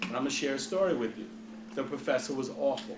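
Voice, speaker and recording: With an American accent and a fairly high pitch, a man talks in a lively intonation over noticeable background noise and audible room echo. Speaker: hospital CEO. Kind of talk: Q&A talk to students. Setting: lecture hall with audience, no microphone. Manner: loud; animated.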